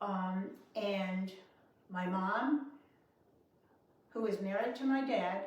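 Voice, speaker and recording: A woman with a New York accent speaks very slowly at a medium pitch and ordinary pitch variation, with audible room echo. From New York City. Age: 80s+. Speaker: war-era memory storyteller. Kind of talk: personal recollection.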